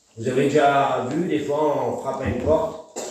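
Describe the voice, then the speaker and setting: A man is speaking. Audible room echo and noticeable background noise are present. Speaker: preacher. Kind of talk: sermon. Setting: church.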